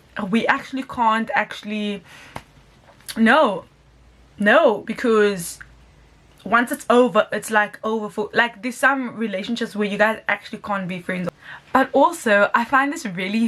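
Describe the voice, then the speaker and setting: An animated woman with a fairly high pitch and ordinary pitch variation, at a fairly slow pace over noticeable background noise. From South Africa. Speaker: YouTuber doing music reactions. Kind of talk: reaction video commentary. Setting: at home.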